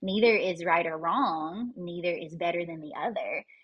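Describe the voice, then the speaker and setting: A woman with a Southern US accent speaks at a moderate pace, her fairly low voice showing ordinary pitch variation. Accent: Southern US, noticeable. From Kentucky, US. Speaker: holistic life coach and breathwork practitioner. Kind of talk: casual interview chat. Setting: podcast interview.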